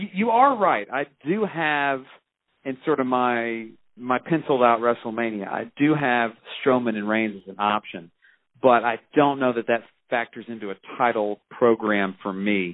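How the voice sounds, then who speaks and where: A man talks at a moderate pace in a medium pitch, with ordinary pitch variation. His is an unremarkable speaking voice. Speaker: professor and wrestling fan. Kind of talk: casual chat.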